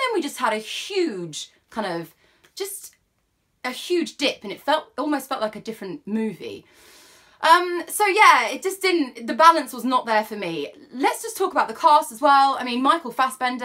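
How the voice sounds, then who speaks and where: A woman's high, raised, projected voice, animated in tone, with very wide pitch swings and big swings in loudness. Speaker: film reviewer. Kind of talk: casual film review monologue. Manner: fast.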